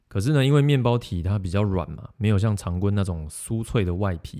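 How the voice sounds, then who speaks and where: A man with a Taiwanese accent talks at a fairly quick pace in a dark, mellow tone with fairly low pitch. The recording is very clean, with a silent background. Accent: Taiwanese Mandarin. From Taiwan, Yunlin. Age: 30s. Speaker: podcast host. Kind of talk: casual monologue about food and stories.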